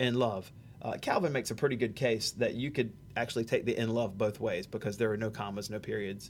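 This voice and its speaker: A man with a Southern US accent, medium-pitched, fairly quick, with fairly even intonation. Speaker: pastor. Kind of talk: theology discussion. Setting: church sound booth.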